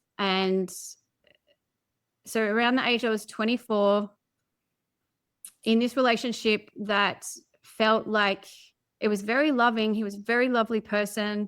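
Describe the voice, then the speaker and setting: Speaking in an Australian accent, a woman with a fairly high pitch talks at a moderate pace in a monotone, flat intonation with long, frequent pauses, on a very clean recording with a silent background. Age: 40s. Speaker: podcast guest, personal development coach. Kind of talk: interview, personal story.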